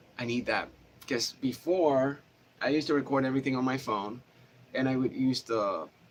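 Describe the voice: A man speaks at a moderate pace. His voice is nasal. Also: medium pitch for a man, ordinary pitch variation.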